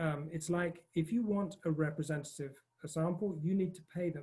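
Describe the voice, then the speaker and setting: A man's fairly high voice has a dark, mellow tone and fairly even intonation. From north of Scotland. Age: 50s. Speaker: panelist, democracy campaigner. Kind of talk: panel discussion talk. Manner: hesitant, many fillers.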